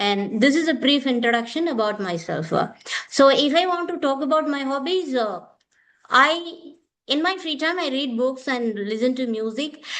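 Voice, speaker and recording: A woman speaks in a South Indian accent at a high pitch with lively intonation. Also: moderate pace. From India, Tamil Nadu. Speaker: online English tutor. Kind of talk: casual conversation practice. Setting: video call.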